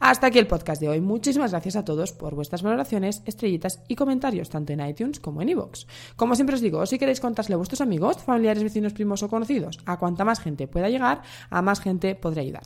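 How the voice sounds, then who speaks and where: Very fast speech from a medium-pitched woman, with very wide pitch swings, on a very clean recording with a silent background. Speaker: dietitian and podcast host. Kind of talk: solo podcast monologue.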